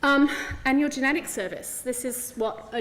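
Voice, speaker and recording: A woman with an English accent speaks at a moderate pace with fairly even intonation, with noticeable background noise behind her. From England. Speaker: clinical geneticist. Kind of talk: conference talk.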